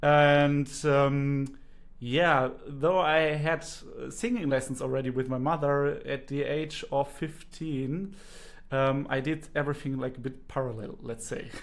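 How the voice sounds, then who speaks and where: This man speaks with a German accent at a fairly slow pace. His pitch is fairly high, with ordinary pitch variation. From Germany. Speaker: singing teacher and speech therapist. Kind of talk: interview.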